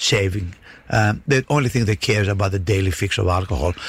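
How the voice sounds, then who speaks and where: There is some breathiness in this man's voice. He talks fairly quickly. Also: very clean recording, silent background. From Greece. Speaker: city mayor. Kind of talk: radio interview. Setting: radio studio.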